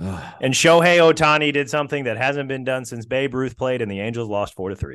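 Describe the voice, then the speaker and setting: This man has a plain, everyday voice at a medium pitch. He talks at a fairly quick pace with hardly any pauses and ordinary pitch variation. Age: 30s. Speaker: sports journalist and podcast host. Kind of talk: casual chat, interview. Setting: audio-only recording, late evening.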